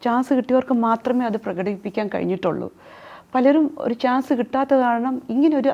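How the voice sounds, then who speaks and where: High-pitched woman's voice, dark and mellow in tone, with ordinary pitch variation. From Hyderabad, India, then Thiruvananthapuram. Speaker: real estate developer. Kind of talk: interview.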